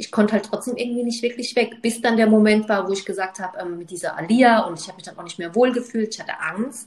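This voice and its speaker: Amid noticeable background noise, a woman talks at a very fast pace with hardly any pauses, a fairly high pitch and big swings in loudness. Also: ordinary pitch variation. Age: 30s. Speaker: podcast co-host. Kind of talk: casual chat.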